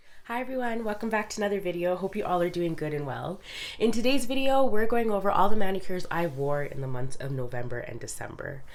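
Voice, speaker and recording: Amid noticeable background noise and audible room echo, a woman at a medium pitch talks very fast, with very wide pitch swings and big swings in loudness. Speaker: nail polish youtuber. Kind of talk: casual vlog review. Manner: casual with fillers.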